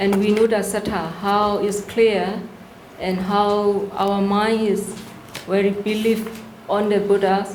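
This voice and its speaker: Over noticeable background noise and audible room echo, a woman speaks very slowly at a medium pitch with monotone, flat intonation. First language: not English. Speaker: workshop presenter on Buddhist practice. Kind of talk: Q&A answer at a workshop. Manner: halting.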